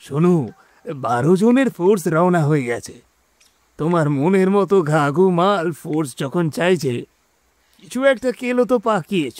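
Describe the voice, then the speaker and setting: Putting on a character voice, a man speaks hoarsely at a high pitch, fairly slowly, with lively intonation. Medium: audio drama. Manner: teasing, gruff.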